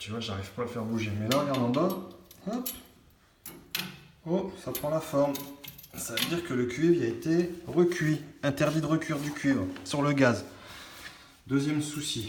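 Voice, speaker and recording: A man at a moderate pace with lively intonation and long, frequent pauses, plus audible room echo and noticeable background noise. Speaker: plumber. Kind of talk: tutorial. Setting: worksite. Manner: casual. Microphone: echo, no headset.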